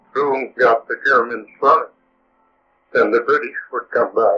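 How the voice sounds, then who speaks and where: With music in the background, a man talks at a fairly slow pace. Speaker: war veteran. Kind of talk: interview answer. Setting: low-quality restored recording.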